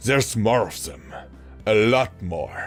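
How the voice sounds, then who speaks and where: A man's put-on character voice, raspy and medium in pitch, with very wide pitch swings, a fairly slow pace and clear music behind him. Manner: unconvincingly uncertain and afraid.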